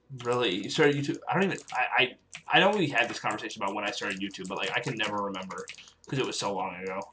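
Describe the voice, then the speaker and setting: Very fast speech over noticeable background noise. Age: 18. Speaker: gaming livestreamer. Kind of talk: casual livestream chat while gaming. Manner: halting, filler-heavy.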